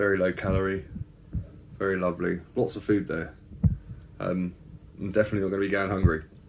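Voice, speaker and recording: A man speaks at a very fast pace with a very deep, low pitch and fairly even intonation. Noticeable background noise runs underneath. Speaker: fitness vlogger. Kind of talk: casual vlog chat. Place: home room. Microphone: phone near.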